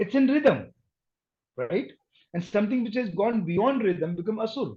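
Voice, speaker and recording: A man with an Indian accent speaks at a moderate pace in a high pitch with a dark, mellow tone. His intonation is lively. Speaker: accent and dialect coach. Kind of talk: interview conversation.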